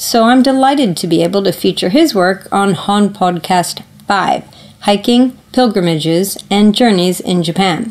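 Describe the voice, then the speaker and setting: With lively intonation and a moderate pace, a woman speaks over noticeable background noise. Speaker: podcast host. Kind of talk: casual interview chat. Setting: in-person recording.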